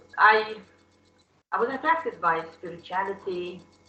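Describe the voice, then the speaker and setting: A woman speaks with a non-native accent and ordinary pitch variation. Room echo is audible. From Soviet Union. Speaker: class participant. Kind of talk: testimony. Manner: halting.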